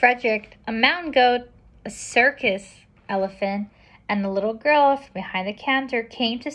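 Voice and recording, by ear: Text is being read aloud. It comes in a natural voice.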